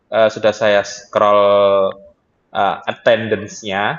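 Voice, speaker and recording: A man speaks with a strong Javanese accent. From East Java (Tuban). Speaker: university lecturer. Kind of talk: online class session.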